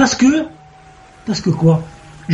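Through noticeable background noise, a man speaks in a high pitch. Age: 50s. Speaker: caller. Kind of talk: storytelling. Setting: video call. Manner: animated.

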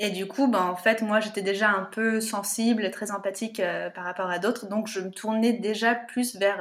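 Medium pitch from a woman in a plain, everyday voice at a moderate pace. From France, Paris region (Yvelines). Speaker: natural contraception trainer. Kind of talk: interview conversation.

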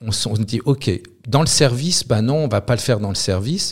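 Lively intonation comes through on a very clean recording with a silent background. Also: man. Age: 50s. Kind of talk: interview. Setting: in Lille. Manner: halting with repetitions.

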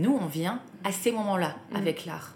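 A woman talks at a fairly slow pace with ordinary pitch variation. The recording has noticeable background noise and audible room echo. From southern France. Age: 30s. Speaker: art business co-founder. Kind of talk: interview. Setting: in her company's office.

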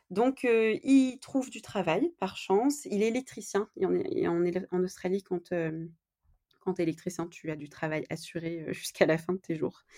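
A woman speaks at a medium pitch with a dark, mellow tone. Her pace is fairly slow. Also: lively intonation, big swings in loudness. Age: 20s. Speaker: podcast guest. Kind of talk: interview. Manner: halting.

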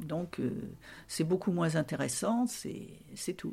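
A woman's somewhat breathy voice, dark and mellow in tone with lively intonation, on a very clean recording with a silent background. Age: 70s. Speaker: retired fashion seamstress. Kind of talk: casual interview, reminiscing. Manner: hesitant, many fillers.

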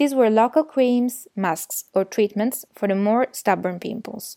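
In an Italian accent, the speaker has a dark, mellow tone and ordinary pitch variation. The recording is very clean with a silent background and a dry, close sound with no echo. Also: woman. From Italy. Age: 20s. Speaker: podcast guest sharing personal story. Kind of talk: scripted narration.

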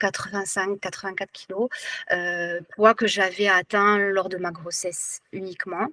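A woman speaks at a very slow pace and medium pitch with fairly even intonation, in a dry, close sound with no echo. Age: 40s. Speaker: teacher and former weight-loss program client. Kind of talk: testimony in an online workshop. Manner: halting, many hesitations and repetitions.

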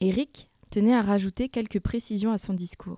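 A woman's medium-pitched voice, dark and mellow, with ordinary pitch variation, dry and close with no echo, on a very clean recording with a silent background. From Burgundy, France. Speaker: podcast host. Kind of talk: scripted narration; interview.

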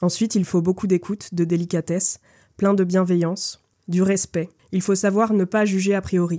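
A dark, mellow voice speaks at a moderate pace in a monotone, flat intonation. The recording is very clean, with a silent background. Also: woman, medium pitch for a woman. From Brittany, Lorient area. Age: 20s. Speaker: theatre company co-founder and actress. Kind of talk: interview conversation. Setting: café. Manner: hesitant, many fillers and repetitions.

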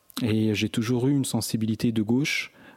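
With a dark, mellow tone, a man speaks fairly slowly and with fairly even intonation. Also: dry, close sound with no echo. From France, Grenoble area (Échirolles). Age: 40s. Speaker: author and activist. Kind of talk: interview.

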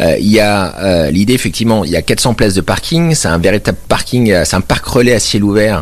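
Through noticeable background noise, a man with a very deep, low pitch talks at a fairly quick pace. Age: 30s. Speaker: mayor. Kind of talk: radio interview. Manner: halting, many repetitions.

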